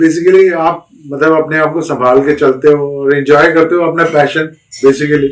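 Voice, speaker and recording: With a fairly high pitch and monotone, flat intonation, a man speaks at a moderate pace. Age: 60s. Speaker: retired manager and long-distance biker. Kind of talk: podcast interview.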